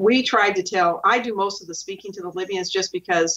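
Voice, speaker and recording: A woman with an ordinary speaking voice talks at a moderate pace and a medium pitch in an American accent. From Oregon. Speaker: whistleblower. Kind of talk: interview, personal account.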